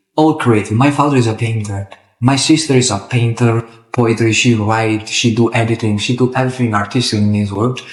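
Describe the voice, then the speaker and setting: Somewhat breathy and medium in pitch, a man speaks with an Italian accent at a moderate pace. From Italy. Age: 20s. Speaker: football referee. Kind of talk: interview. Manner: halting.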